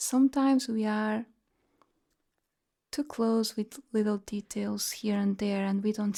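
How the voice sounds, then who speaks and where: The voice carries a dark, mellow tone and stays calm throughout. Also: woman. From Portugal, Lisbon. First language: Portuguese. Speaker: sound healer. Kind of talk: guided meditation. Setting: live online group session. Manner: slow.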